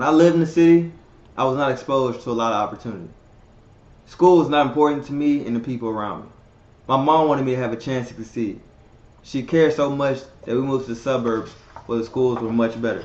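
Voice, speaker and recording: Someone with an American accent talks at a very fast pace, yet with long, frequent pauses. The pitch varies in an ordinary way, and there is audible room echo. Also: man, medium pitch for a man. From Texas, Dallas. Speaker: student. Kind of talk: scripted testimony.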